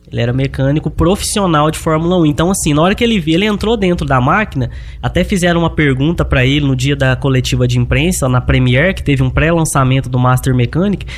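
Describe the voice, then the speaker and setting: A man at a very fast pace with hardly any pauses, over noticeable background noise. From Minas Gerais, Brazil (Luz, near Divinópolis). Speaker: agricultural machinery mechanic. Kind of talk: interview.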